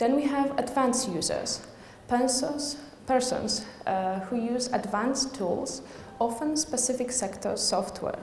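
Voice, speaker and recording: A woman with a Polish accent speaks at a high pitch and a fairly slow pace, with audible room echo and noticeable background noise. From Poland. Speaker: university researcher. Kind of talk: conference presentation. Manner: halting.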